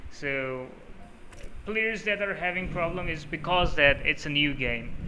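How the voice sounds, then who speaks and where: At a fairly slow pace, a man with a fairly high pitch speaks amid audible room echo. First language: Urdu. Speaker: gaming YouTuber. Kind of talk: tutorial. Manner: casual, with many fillers.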